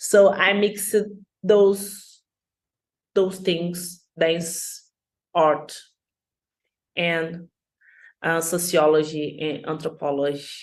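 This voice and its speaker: Amid audible room echo, the voice moves at a very slow pace with fairly even intonation and long, frequent pauses. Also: woman, fairly low pitch for a woman. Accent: Brazilian Portuguese. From Brazil, Rio de Janeiro. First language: Portuguese. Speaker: dancer and social science student. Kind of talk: conference talk. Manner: halting.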